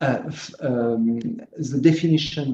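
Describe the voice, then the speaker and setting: A dark, mellow tone with a French accent, a fairly slow pace and ordinary pitch variation. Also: man. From France. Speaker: slot car track builder. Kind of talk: video call chat. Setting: video call. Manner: halting, many fillers.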